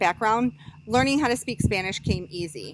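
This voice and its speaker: The voice is loud, moving at a moderate pace with very wide pitch swings. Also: woman. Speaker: college student. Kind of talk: class presentation speech. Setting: outdoors with small audience.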